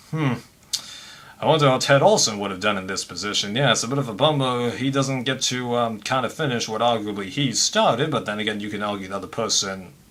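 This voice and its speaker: Very fast speech comes from a man with an American accent at medium pitch. Noticeable background noise is present. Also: ordinary pitch variation. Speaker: commentary vlogger. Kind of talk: casual commentary monologue. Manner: hesitant, many fillers.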